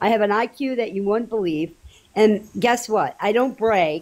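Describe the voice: At a moderate pace, a woman speaks at medium pitch with a slightly mellow tone and ordinary pitch variation.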